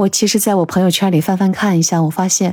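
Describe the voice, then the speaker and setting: A woman's plain, everyday voice at medium pitch and a fairly quick pace. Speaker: podcast host. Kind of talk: personal monologue.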